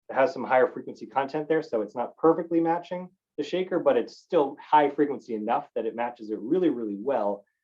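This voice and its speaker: The intonation is lively. A man talks at a very fast pace. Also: fairly high pitch for a man. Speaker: engineer presenting software demo. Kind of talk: webinar tutorial.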